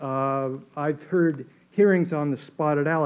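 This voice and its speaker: A man's fairly high voice at a fairly quick pace, with fairly even intonation. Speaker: audience member. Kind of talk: audience question. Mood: earnest, challenging. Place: hall. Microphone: podium.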